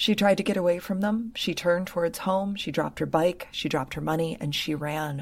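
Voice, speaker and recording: Speaking with an American accent in a calm tone, the voice keeps a moderate pace and ordinary pitch variation in a very clean recording with a silent background. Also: woman. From Michigan. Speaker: podcast host. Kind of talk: casual chat.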